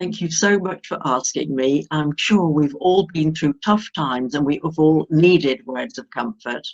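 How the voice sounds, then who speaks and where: A woman speaks at a fairly slow pace in a very deep, low pitch with ordinary pitch variation. The sound is dry and close, with no echo. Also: hardly any pauses. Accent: southern English. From southern England, Hampshire. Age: 70s. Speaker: retired former teacher. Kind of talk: interview.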